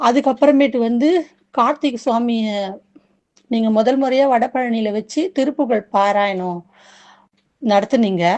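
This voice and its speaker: A woman has a normal speaking voice with a fairly high pitch. Her pitch varies in an ordinary way. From Chennai, India. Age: 40s. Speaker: domestic worker, devotee. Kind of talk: testimony. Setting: recorded voice message.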